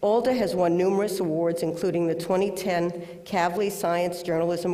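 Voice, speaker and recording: Delivery comes at a fairly quick pace in a Bronx accent. There is noticeable background noise. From New York City, the Bronx. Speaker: award presenter. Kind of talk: award introduction speech. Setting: auditorium with audience, webcast.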